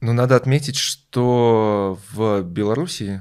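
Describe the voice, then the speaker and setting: The recording is very clean with a silent background, capturing a man whose pitch is fairly low. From Belarus. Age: 20s. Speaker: IT worker. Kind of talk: interview.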